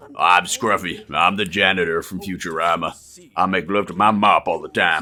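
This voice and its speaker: A man in a put-on character voice, very deep and low in pitch, at a moderate pace. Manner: crude, comedic.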